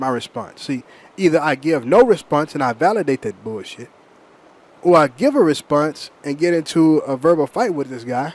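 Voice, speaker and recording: At a moderate pace, a man speaks at a fairly high pitch with lively intonation. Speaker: vlogger. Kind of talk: monologue. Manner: animated.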